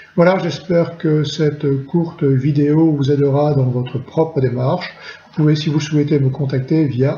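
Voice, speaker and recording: The speaker keeps a moderate pace and fairly even intonation. Noticeable background noise and audible room echo fill the recording. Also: man. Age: 60s. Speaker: retired chemical industry engineer. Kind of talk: testimony. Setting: recorded at home during lockdown. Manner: halting, frequent hesitations.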